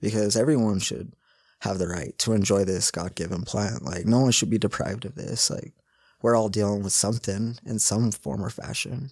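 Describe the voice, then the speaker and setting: A normal speaking voice comes with an American accent at a moderate pace. The recording is very clean, with a silent background. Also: man, fairly low pitch for a man, ordinary pitch variation. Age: 30s. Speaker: medical cannabis patient. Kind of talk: interview testimony.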